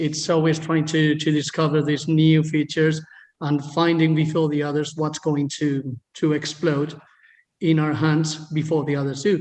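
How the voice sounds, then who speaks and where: With a Spanish accent, a man speaks in a monotone, flat intonation at a fairly high pitch. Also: moderate pace. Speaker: agency founder, guest. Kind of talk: interview. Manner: halting, many fillers.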